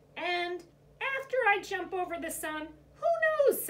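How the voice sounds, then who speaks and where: Doing a put-on character voice, a woman talks at a moderate speed in a squeaky, extremely high register. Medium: read story. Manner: calm, determined.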